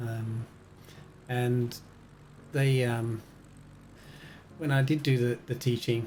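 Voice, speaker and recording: The delivery is very slow and monotone, with flat intonation and long, frequent pauses. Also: man, medium pitch for a man. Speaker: flight sim game streamer. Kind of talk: live gaming stream chat. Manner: loud; casual, hesitant with many fillers.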